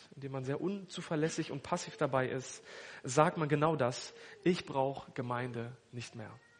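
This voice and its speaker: At a moderate pace, a man with an unremarkable speaking voice talks, his pitch varying in an ordinary way. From northern Germany (Hannover). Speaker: pastor. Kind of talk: sermon.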